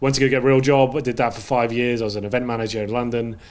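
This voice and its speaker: A man's very fast talking with fairly even intonation. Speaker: esports caster and analyst. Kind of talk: casual chat.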